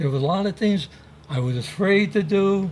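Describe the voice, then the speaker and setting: This man talks with lively intonation at a moderate pace. His voice is somewhat breathy. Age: 80s+. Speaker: navy veteran. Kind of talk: interview.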